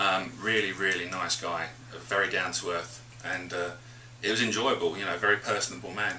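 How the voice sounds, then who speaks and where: Over noticeable background noise, a man with a British accent speaks at a moderate pace and a fairly low pitch. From England. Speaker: radio DJ. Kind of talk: interview answer. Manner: energetic.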